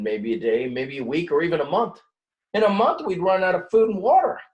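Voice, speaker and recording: A man puts on a gruff, growling character voice with a high pitch and very wide pitch swings. He talks at a fairly quick pace. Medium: read story.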